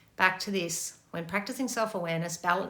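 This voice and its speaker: The woman's voice is fairly low in pitch with a bright, sharp tone. Her intonation is fairly even, and audible room echo is present. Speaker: meditation and relationship teacher. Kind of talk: Q&A talk. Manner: fast.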